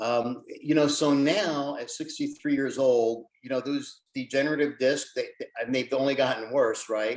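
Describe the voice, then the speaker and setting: A man at a fairly high pitch, moderate pace and fairly even intonation, with big swings in loudness. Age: 60s. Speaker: weightlifter and cancer survivor. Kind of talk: interview. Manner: halting.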